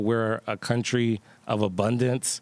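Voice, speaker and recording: A man's medium-pitched, flat monotone voice, dry and close with no echo. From Pittsburgh, Hill District. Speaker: artist and creative space founder. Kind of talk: live panel interview. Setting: stage with audience. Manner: casual, relaxed.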